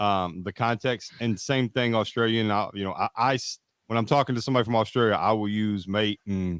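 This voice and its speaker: In a Kentucky accent, a man talks at a fairly quick pace in a fairly low voice with fairly even intonation, on a very clean recording with a silent background and a dry, close sound with no echo. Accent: Kentucky Southern American. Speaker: podcast co-host. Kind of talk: casual chat. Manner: halting, many fillers.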